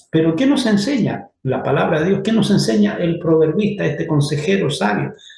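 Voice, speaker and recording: A man speaks with lively intonation. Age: 60s. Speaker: church teacher. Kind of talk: lecture.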